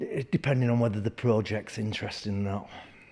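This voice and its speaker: Spoken in a Yorkshire accent, the voice has a dark, mellow tone and ordinary pitch variation. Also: man. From northern England, Leeds, Yorkshire. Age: 60s. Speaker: martial arts instructor. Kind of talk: interview. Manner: halting.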